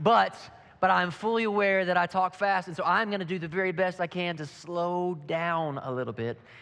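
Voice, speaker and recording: The speaker is a man. He has a Southern US accent. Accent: Southern twang. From Kentucky. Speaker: pastor. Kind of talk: sermon. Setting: church with audience. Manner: fast.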